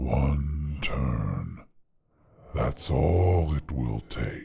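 On a very clean recording with a silent background, a man puts on a character voice pitched extremely low, with a dark, mellow tone and vocal fry. His intonation is lively, and the pace is very slow.

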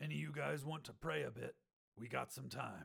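A man puts on a gruff, raspy character voice at a medium pitch with very wide pitch swings. He talks at a fairly quick pace. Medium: read story. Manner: terse, commanding.

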